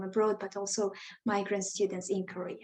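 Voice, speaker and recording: The woman's medium-pitched voice has a dark, mellow tone and fairly even intonation. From Tajikistan. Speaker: education startup founder. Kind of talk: self-introduction in group video chat. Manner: halting.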